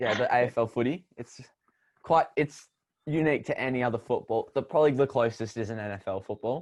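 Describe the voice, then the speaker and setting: Against a quiet background, a man with an Australian accent talks at a fairly quick pace. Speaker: podcast co-host. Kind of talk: casual chat.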